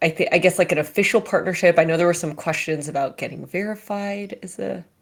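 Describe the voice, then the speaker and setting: A woman's fairly low voice with fairly even intonation, on a very clean recording with a silent background. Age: 30s. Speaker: company CEO. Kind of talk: live Q&A session. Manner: halting.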